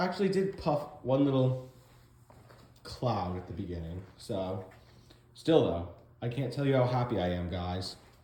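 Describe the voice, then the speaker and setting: At a moderate pace broken by long, frequent pauses, a man's pitch swings very widely amid audible room echo and noticeable background noise. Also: medium pitch for a man. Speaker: garage restoration vlogger. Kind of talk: casual vlog narration. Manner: halting, stumbling over words.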